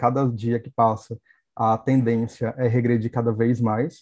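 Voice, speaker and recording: Heard in a dry, close sound with no echo, a man speaks at a moderate pace and medium pitch with a dark, mellow tone. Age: 30s. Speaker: HIV activist, YouTuber. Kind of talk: casual panel discussion.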